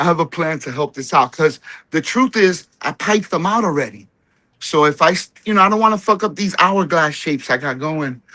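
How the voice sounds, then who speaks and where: With a New Jersey accent, a man with a fairly high pitch speaks at a fairly quick pace in a bright, sharp tone and lively intonation against a quiet background. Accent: New Jersey American. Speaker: home cannabis grower. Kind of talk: casual chat. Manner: casual, profane.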